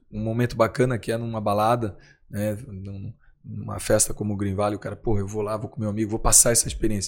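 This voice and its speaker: A man with a normal speaking voice and fairly even intonation, in a very clean recording with a silent background. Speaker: nightclub founder and entrepreneur. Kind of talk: interview.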